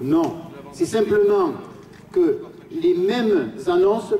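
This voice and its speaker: A man speaks at a high pitch with very wide pitch swings. Noticeable background noise can be heard. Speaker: trade union activist. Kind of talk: rally speech. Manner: halting, repeats words.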